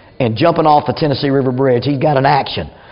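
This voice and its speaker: A man talks at a very fast pace. Noticeable background noise and audible room echo surround his voice. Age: 50s. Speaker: church speaker and crisis intervention trainer. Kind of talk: church class talk.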